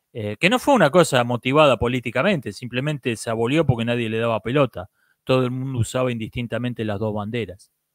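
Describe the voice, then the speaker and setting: Against a quiet background, a man talks at a very fast pace, the sound dry with no echo. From Argentina. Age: 40s. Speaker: YouTube commentator on philosophy and politics; YouTube commentator on philosophy. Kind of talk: monologue answering viewer comments. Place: home room. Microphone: handheld.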